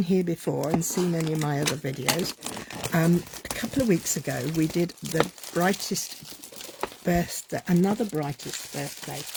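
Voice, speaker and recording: Speaking with a British accent, a woman uses a fairly low voice. Background noise is noticeable. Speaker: craft demonstrator. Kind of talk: unboxing livestream. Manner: casual, hesitant with fillers.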